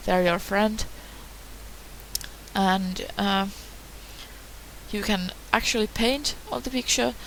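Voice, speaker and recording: Noticeable background noise sits behind this recording. A woman with a non-native accent speaks at a very slow pace. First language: not English. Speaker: hobbyist tutorial maker. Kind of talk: tutorial. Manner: hesitant, many fillers.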